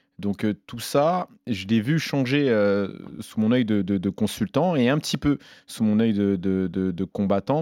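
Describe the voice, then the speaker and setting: In a dry, close sound with no echo and a quiet background, the voice has a dark, mellow tone, lively intonation and a fairly slow pace. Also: man. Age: 30s. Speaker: MMA fighter and commentator. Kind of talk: casual chat. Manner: halting.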